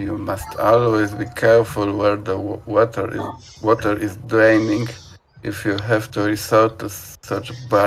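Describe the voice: The clip is plain reading aloud.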